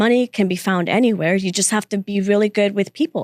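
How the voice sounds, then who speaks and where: In a dry, close recording with no echo, a woman talks at a very fast pace in a medium pitch with ordinary pitch variation. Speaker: real estate developer and businesswoman. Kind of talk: podcast interview. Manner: soft-spoken.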